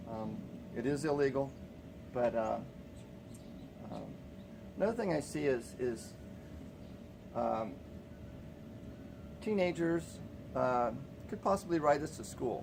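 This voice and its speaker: A mumbling man at medium pitch, fairly slow, with lively intonation and long, frequent pauses. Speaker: small business owner. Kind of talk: casual vlog monologue. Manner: halting, many fillers.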